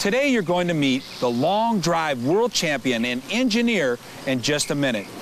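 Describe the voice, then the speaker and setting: Pitch swings very widely while loudness stays very even, at a moderate pace over noticeable background noise. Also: man, fairly high pitch for a man. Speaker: infomercial host. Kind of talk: TV infomercial hosting.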